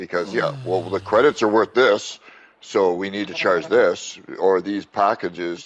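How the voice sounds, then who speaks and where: A man's normal speaking voice, fairly low in pitch, proceeds at a moderate pace. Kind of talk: casual podcast banter about sim racing. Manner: rant, profane.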